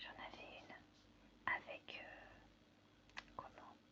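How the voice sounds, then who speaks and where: Whispering in a relaxed tone, a woman is heard over noticeable background noise. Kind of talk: ASMR crafting video, casual talk to camera. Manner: soft-spoken, relaxed.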